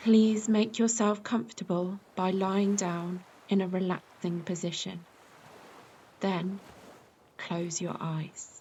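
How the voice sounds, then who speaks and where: A woman with a British accent and a medium pitch speaks at a very slow pace with long, frequent pauses, a calm tone, a somewhat breathy quality and fairly even intonation. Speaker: yoga nidra teacher. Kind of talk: guided meditation. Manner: slow, calm.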